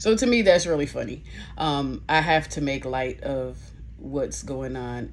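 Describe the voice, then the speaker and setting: The woman speaks at a fairly slow pace. Audible room echo is present. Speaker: nurse and vlogger. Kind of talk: casual vlog. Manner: slow, with pauses; halting speech.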